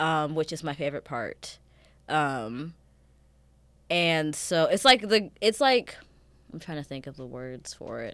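Speaking at a fairly slow pace, a woman with a very deep, low pitch uses lively intonation, big swings in loudness and long, frequent pauses on a very clean recording with a silent background. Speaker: podcast host. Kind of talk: casual chat. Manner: casual, joking.

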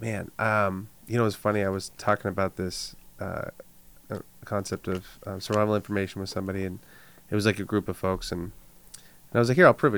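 Despite long, frequent pauses, a man talks at a very fast pace, his fairly low pitch held in monotone, flat intonation. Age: 30s. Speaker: podcast co-host. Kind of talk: casual chat.

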